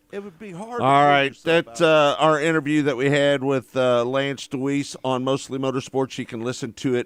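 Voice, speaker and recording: This man has an ordinary speaking voice with a fairly high pitch and ordinary pitch variation, on a very clean recording with a silent background. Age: 60s. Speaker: radio host. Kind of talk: radio talk show.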